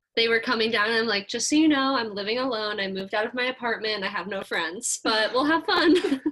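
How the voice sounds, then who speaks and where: A woman with a fairly high pitch races along at a very fast pace with hardly any pauses and lively intonation, over noticeable background noise. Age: 20s. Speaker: podcast guest, cousin of a host. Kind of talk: casual chat. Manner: animated.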